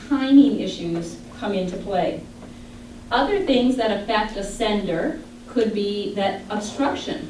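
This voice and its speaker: Speaking fairly slowly with lively intonation, a woman with a Midwestern US accent is heard over noticeable background noise and audible room echo. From Michigan. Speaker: audiologist. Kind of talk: lecture.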